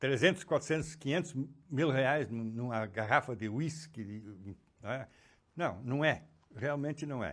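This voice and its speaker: A man's lively intonation stands out on a very clean recording with a silent background. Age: 80s+. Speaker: educator and psychoanalyst. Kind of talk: interview conversation.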